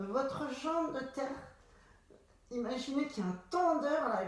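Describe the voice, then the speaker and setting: With lively intonation and a high pitch, a woman speaks at a fairly slow pace amid noticeable background noise and audible room echo. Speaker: pilates instructor. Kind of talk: exercise class instruction. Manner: slow, calm guiding.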